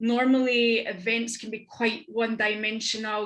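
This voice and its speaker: A woman with a Scottish accent, fairly high in pitch, bright and sharp in tone, monotone and flat, at a moderate pace. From Scotland. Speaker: business network founder and entrepreneur. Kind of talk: panel discussion.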